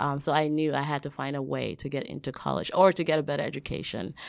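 Vocal fry at a fairly quick pace with ordinary pitch variation, on a very clean recording with a silent background. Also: woman. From Liberia. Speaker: tennis coach and youth development specialist. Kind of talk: interview. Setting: studio.

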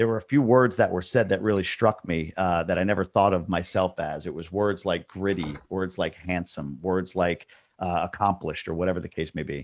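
With an American accent, a man speaks in a very deep, low pitch with ordinary pitch variation. He barely pauses, and the background is quiet. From New York state. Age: 40s. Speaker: multifamily investor and course creator. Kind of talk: casual interview chat.

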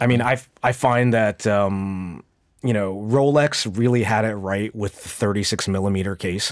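An ordinary speaking voice from a man with a General American accent, fairly low in pitch, at a moderate pace with ordinary pitch variation, in a very clean recording with a silent background. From US, suburbs of Washington D.C. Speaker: watch dealer and collector. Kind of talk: casual interview. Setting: studio.

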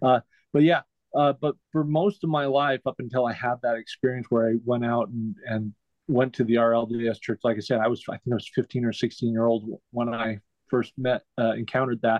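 A man with an American accent and a normal speaking voice talks at a moderate pace, his medium pitch held in fairly even intonation. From Utah, Salt Lake City. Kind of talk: casual interview chat.

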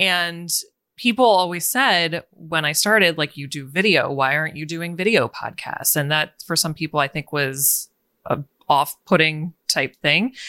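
Speaking at a fairly slow pace, a woman has a bright, sharp tone on a very clean, dry, close recording with a silent background and no echo. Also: fairly low pitch for a woman, ordinary pitch variation. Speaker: podcaster, author and video business owner. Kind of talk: casual interview chat.

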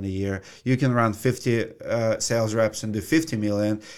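Man with a Russian accent at medium pitch, moderate pace, in a very clean recording over a silent background. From Russia (Siberia). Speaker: roofing contractor and YouTuber. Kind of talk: interview. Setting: studio.

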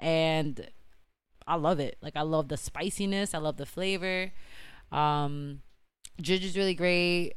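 A woman speaks in a normal speaking voice. Her pitch sits fairly low and varies in an ordinary way. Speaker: brand founder and CEO. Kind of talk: casual chat. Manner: casual, conversational.

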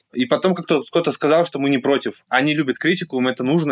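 The speech comes at a very fast pace with ordinary pitch variation, in a dry, close sound with no echo. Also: man. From Russia, Yekaterinburg. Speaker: artist and blogger. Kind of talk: casual interview.

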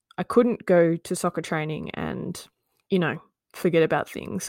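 In a very clean recording with a silent background and a dry, close sound with no echo, a woman with an Australian accent speaks at a moderate pace, her pitch fairly low and her intonation fairly even. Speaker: podcast co-host, being interviewed. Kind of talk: casual chat, interview.

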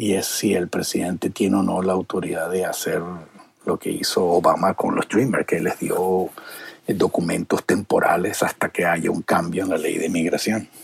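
A man's voice comes at a moderate pace over noticeable background noise. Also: dry, close sound with no echo. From Venezuela. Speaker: television producer. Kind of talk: interview. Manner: halting, many repetitions.

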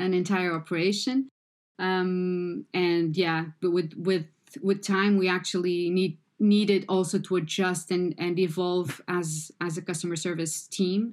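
The speaker uses a Portuguese accent, moving at a fairly slow pace with fairly even intonation. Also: woman, medium pitch for a woman. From Portugal. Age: 40s. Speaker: customer support manager. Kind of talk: interview podcast. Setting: remote call. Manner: halting.

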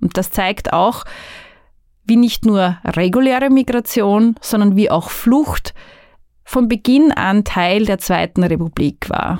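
Very slowly, a woman speaks at a fairly high pitch. The sound is dry and close with no echo, on a very clean recording with a silent background. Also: ordinary pitch variation. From Austria, northern Burgenland. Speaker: migration researcher. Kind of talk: podcast monologue.

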